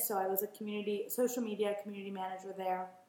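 The woman speaks fairly quickly and with fairly even intonation, while noticeable background noise and audible room echo fill the recording. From Los Angeles. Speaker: founder of a children's clothing brand. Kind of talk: casual interview chat. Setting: in person, downtown Los Angeles.

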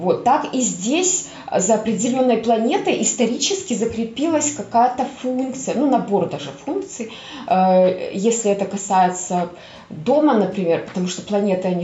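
A woman's fairly high voice at a moderate pace, with very wide pitch swings over noticeable background noise. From Belarus (Minsk). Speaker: astrologer and tarot reader. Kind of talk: casual interview chat.

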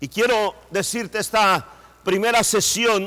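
A man's raised, projected voice at a very slow pace. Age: middle-aged. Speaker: pastor. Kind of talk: sermon.

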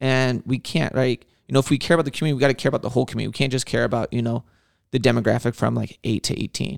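In a dry, close sound with no echo, a man of medium pitch talks very fast with fairly even intonation and vocal fry. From Southern California (Whittier). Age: 30s. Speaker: podcast host, youth worker. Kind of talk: casual interview.

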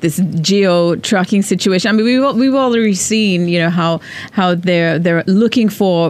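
Ordinary pitch variation at a moderate pace, noticeable background noise behind it. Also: woman. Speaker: podcast co-host. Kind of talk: casual podcast chat.

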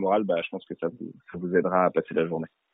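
A man talks at a fairly quick pace. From Paris suburbs, France. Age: 20s. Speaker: rapper. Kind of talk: interview. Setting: phone call. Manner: casual, hesitant with many fillers.

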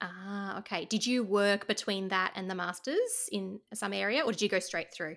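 This voice carries an Australian accent and moves at a moderate pace. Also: woman, medium pitch for a woman. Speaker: podcast host, speech pathologist. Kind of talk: casual interview chat.

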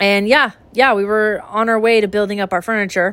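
In a very clean recording with a silent background, a woman with a General American accent and a plain, everyday voice speaks at a medium pitch and a moderate pace. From US West (Idaho). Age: 20s. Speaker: podcast host. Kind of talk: casual chat.

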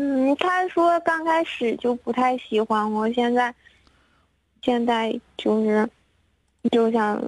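A woman speaks at a very slow pace and high pitch, with long, frequent pauses, ordinary pitch variation and very even loudness, in a dry, close sound with no echo. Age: 20s. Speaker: caller seeking relationship advice. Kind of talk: phone-in advice call. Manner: halting.

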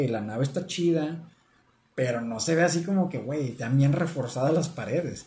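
A man with a Mexican accent speaks at a moderate pace in a fairly high pitch with ordinary pitch variation. His tone is dark, mellow and somewhat breathy, with audible room echo. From Mexico. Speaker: podcast co-host. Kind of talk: casual chat.

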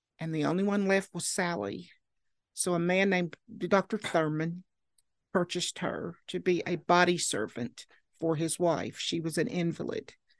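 Against a quiet background, a woman with an Appalachian accent talks at a moderate pace in a fairly low pitch with ordinary pitch variation. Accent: Appalachian Southern US. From Southwest Virginia (Marion). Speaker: local historian and genealogist. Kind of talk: interview.

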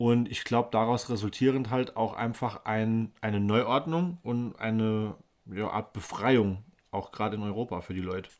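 A man speaks in an unremarkable speaking voice at a medium pitch. His pace is moderate, with ordinary pitch variation. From Germany, Rhineland-Palatinate (Baumholder). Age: 30s. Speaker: podcast co-host. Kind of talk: casual chat.

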